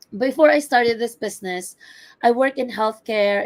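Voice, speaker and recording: Her voice fairly high, a woman speaks with ordinary pitch variation. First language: not English. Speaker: entrepreneur, healthcare worker. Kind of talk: personal testimony in online webinar.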